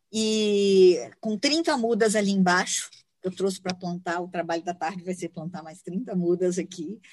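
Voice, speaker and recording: A woman with an ordinary speaking voice talks at a fairly slow pace and medium pitch, with ordinary pitch variation and big swings in loudness. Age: 50s. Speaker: environmental consultant. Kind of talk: interview conversation. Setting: outdoors in a park.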